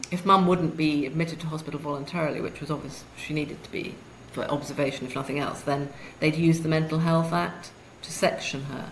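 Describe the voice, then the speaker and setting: With a British accent, a woman speaks at a very deep, low pitch and a moderate pace, with fairly even intonation. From UK. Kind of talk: interview answer.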